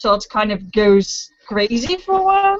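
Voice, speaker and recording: Very wide pitch swings with a non-native accent. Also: woman. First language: not English. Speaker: book vlogger. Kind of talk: casual chat.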